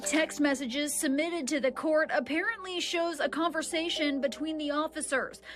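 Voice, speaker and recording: The speech moves at a moderate pace with ordinary pitch variation and a serious tone. Music plays in the background. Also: woman. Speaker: TV news reporter. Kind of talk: narrated news package voiceover. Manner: serious, measured.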